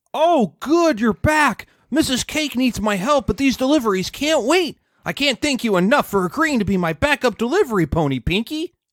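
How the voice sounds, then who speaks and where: On a very clean recording with a silent background, a man performs a put-on character voice at an extremely high pitch and a moderate pace. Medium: game stream.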